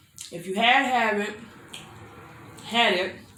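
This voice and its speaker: A woman with an American accent talks in a fairly high voice with ordinary pitch variation. Noticeable background noise and audible room echo surround her. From Florida. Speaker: mukbang youtuber. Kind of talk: casual chat while eating. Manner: chatty, conversational.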